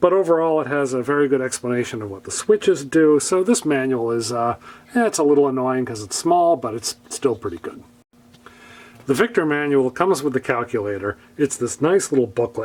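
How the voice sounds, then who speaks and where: With an ordinary speaking voice, a man talks at a medium pitch and a fairly quick pace. His intonation is lively, and his loudness swings widely. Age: 60s. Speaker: product reviewer. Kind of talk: product review. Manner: casual, with frequent fillers.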